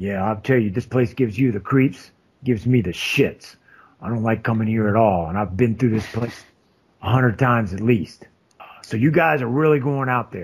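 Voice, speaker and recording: Putting on a gruff character voice, a man speaks at medium pitch with ordinary pitch variation and a moderate pace. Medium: actual play. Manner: blunt, profane, gruff.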